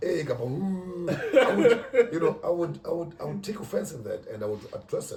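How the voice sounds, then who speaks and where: A man talks at a moderate speed. Behind him, background noise is noticeable. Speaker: podcast host. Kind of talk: casual chat.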